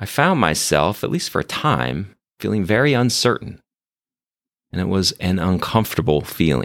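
A man with a very deep, low pitch and vocal fry speaks at a moderate pace with very wide pitch swings on a very clean recording with a silent background. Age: 50s. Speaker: physician and hospital leader. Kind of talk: interview storytelling.

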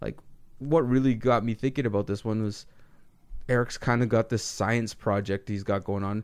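A man speaks with a plain, everyday voice at medium pitch. His pace is moderate and his intonation fairly even. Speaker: podcast co-host. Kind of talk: casual chat.

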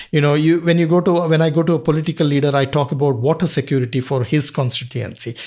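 Speaking at a fairly quick pace, a man with a Kannada accent has a fairly high pitch. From Karnataka, southern India. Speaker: wildlife conservationist. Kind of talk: interview.

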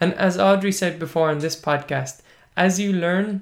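In a very clean recording with a silent background, a man with an Irish accent speaks at a moderate pace, his pitch varying in an ordinary way. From Ireland (Munster). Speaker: language teaching podcast host. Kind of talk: casual podcast monologue.

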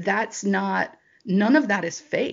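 A woman speaks at a medium pitch. Her pitch rises and falls an ordinary amount. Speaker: college golf coach. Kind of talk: interview. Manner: animated.

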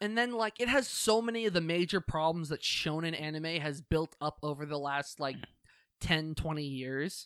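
In a very clean recording with a silent background and a dry, close sound without echo, a man with an American accent speaks at a moderate pace. He has a plain, everyday voice, fairly high in pitch with ordinary variation. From United States. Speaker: podcast co-host. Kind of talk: casual chat.

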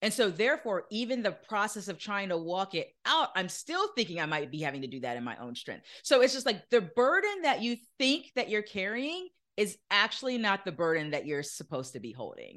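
A woman speaks at a medium pitch with vocal fry, her loudness rising and falling sharply and her pitch swinging very widely. She talks at a fairly quick clip with hardly any pauses over a quiet background. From Florida. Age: 40s. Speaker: author and entrepreneur mentor. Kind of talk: interview.

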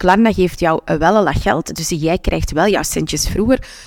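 A woman's fairly low voice with a Flemish accent and ordinary pitch variation, in a dry, close sound with no echo. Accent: Flemish Dutch. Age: 30s. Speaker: podcast host and business coach. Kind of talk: solo podcast tips talk. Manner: animated.

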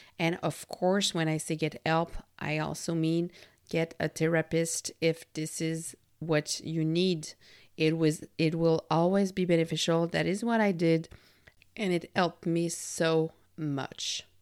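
A woman with a French Canadian accent speaks at a fairly low pitch in monotone, flat intonation. The recording is very clean, its background silent. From Quebec. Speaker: podcast host, employee engagement consultant. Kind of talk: solo self-help monologue.

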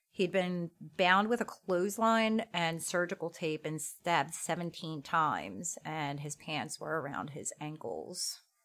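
A woman with an ordinary speaking voice talks fairly slowly at a fairly low pitch with ordinary pitch variation and hardly any pauses, in a very clean recording with a silent background. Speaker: true crime podcast host. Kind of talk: true-crime narration with casual chat.

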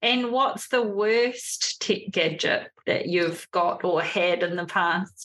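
In a New Zealand accent, a woman of medium pitch speaks at a very slow pace with hardly any pauses, very even loudness and ordinary pitch variation. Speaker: podcast host. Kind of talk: interview.

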